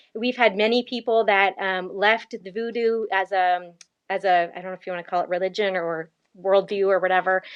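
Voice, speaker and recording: A woman with an unremarkable speaking voice and a Canadian accent talks at medium pitch and a fairly quick pace, with big swings in loudness. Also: fairly even intonation. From Canada, Ontario (grew up in Hamilton). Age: young. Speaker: missionary and podcaster. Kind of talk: interview.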